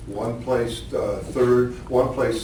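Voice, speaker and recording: Audible room echo over noticeable background noise. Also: man. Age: 80s+. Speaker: wrestling coach. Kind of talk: award acceptance speech. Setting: banquet hall with audience. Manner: halting.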